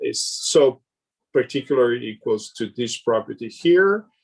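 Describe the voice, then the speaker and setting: A man talks with ordinary pitch variation. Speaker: mathematician. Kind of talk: lecture. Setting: conference talk. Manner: halting; slow.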